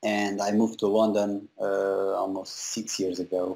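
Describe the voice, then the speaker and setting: In a Portuguese accent, a man speaks fairly slowly at a fairly low pitch. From Portugal, small town. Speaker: visual effects compositor. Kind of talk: interview. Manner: halting, many fillers.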